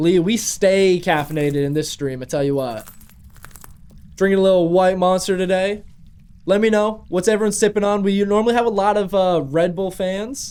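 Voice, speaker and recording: Speaking at a moderate pace, a man uses an animated tone and a high pitch with ordinary variation. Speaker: gaming streamer. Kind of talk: live gameplay stream chat.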